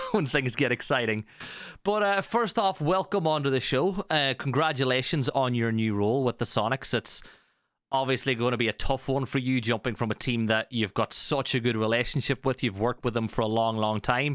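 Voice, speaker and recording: A man at medium pitch with ordinary pitch variation and very even loudness, dry and close with no echo, on a very clean recording with a silent background. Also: fairly quick pace. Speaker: esports caster and interviewer. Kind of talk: interview.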